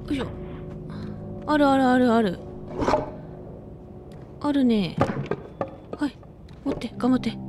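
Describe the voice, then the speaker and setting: Music plays in the background as the speaker talks with ordinary pitch variation and long, frequent pauses. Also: woman, high pitch for a woman, moderate pace. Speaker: voice actor. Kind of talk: casual game commentary.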